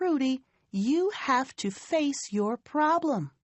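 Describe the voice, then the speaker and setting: Putting on a character voice, this woman pitches high and swings very widely in pitch while talking at a very slow pace. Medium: read story.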